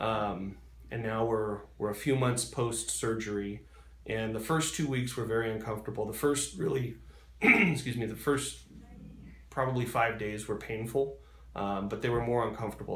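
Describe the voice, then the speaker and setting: At a moderate pace, a man speaks in a normal speaking voice with a medium pitch and ordinary pitch variation. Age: 30s. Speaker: surgery patient. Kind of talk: interview answer.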